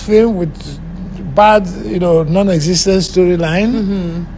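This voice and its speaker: A man with a Nigerian accent and a high voice, speaking at a fairly slow pace over light background noise. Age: 70s. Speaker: filmmaker. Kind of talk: interview answer. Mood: critical, opinionated. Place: home room. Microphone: phone near.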